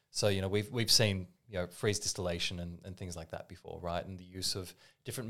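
With an Australian accent, a man talks at a fairly quick pace. His very deep, low pitch stays monotone and flat. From Australia, Melbourne. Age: 30s. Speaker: barista. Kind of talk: casual chat.

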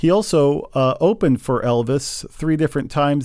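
The tone is dark and mellow. The pace is fairly slow, with ordinary pitch variation. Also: man, very clean recording, silent background. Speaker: podcast host. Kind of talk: podcast discussion.

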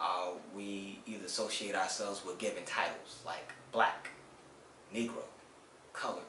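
In an American accent, a man talks at a moderate pace with monotone, flat intonation and long, frequent pauses, and audible room echo can be heard. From Washington, D.C. and South Carolina. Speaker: collections team leader and community mentor. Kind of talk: interview. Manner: halting, many fillers.

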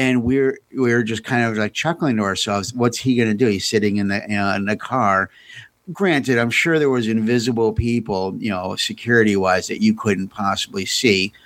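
A man with an American accent talks fairly quickly in a normal speaking voice, with ordinary pitch variation, on a very clean recording with a silent background. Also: medium pitch for a man. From United States. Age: 50s. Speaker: podcast co-host. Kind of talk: casual chat.

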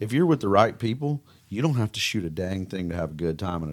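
Recorded very cleanly against a silent background, the speaker talks at a fairly quick pace in a Southern accent. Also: man. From Mississippi. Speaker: duck hunting guide and outfitter. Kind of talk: casual interview.

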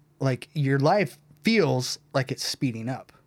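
Pitched fairly high, a man speaks at a very slow pace. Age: 30s. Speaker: former band drummer. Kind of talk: casual chat.

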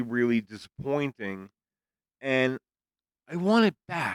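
With an ordinary speaking voice, a man speaks fairly slowly at a fairly high pitch and with lively intonation, in a dry, close sound with no echo on a very clean recording with a silent background. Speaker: podcast co-host. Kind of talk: casual chat.

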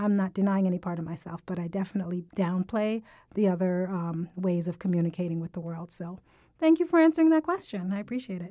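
A woman speaks in a dark, mellow tone with lively intonation. The recording is very clean, with a silent background. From Jamaica. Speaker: podcast host. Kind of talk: casual chat. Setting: studio.

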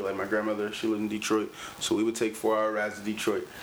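Very fast talk from a man with an American accent over noticeable background noise. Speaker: rapper. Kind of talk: casual chat. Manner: aggressive tone.

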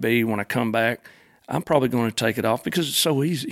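The recording is a dry, close sound with no echo, with a man speaking in an Arkansas accent. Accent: Arkansas Southern. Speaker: gun customizer. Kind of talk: casual interview. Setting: studio.

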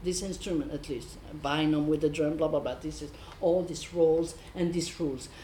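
A fairly low-pitched woman's voice with a French accent. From France, south. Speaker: improvising musician, bassist. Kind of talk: panel discussion. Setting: stage with audience.

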